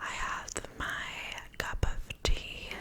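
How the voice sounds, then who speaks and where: A woman whispers in a relaxed tone. Noticeable background noise sits behind her. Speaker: ASMR content creator. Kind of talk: ASMR whispered Q&A talk to camera. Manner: whispered, soft, relaxed.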